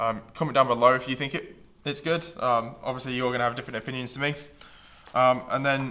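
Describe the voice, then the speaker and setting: Amid audible room echo, a man with a medium pitch and a bright, sharp tone speaks fairly quickly in a monotone, flat delivery. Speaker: YouTuber doing unboxing. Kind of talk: unboxing review. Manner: hesitant, many fillers.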